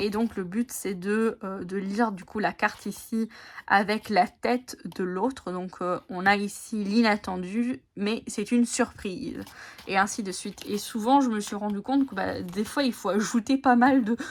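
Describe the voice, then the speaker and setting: At a fairly slow pace, a woman talks at a medium pitch with ordinary pitch variation. The recording is very clean, with a silent background. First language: Italian (speaking French). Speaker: tarot and oracle card content creator. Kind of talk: casual video chat presenting oracle decks. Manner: halting, many hesitations.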